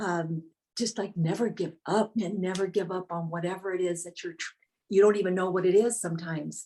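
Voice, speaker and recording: This woman's voice has a dark, mellow tone at a medium pitch. She talks at a fairly quick pace, with big swings in loudness. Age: 60s. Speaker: painter. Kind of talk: interview.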